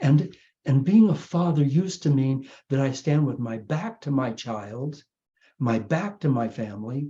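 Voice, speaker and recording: Somewhat breathy, the man talks in a dark, mellow tone. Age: 80s+. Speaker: spiritual teacher. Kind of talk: inspirational talk. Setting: video call. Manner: halting.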